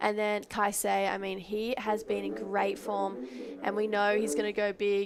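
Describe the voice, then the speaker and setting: A woman with an Australian accent speaks at a fairly high pitch with lively intonation. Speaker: surf commentator. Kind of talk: live commentary. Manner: animated.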